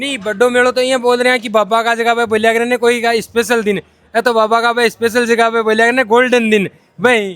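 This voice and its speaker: A man speaks at an extremely high pitch. His intonation is monotone and flat. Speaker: reporter. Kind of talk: field interview.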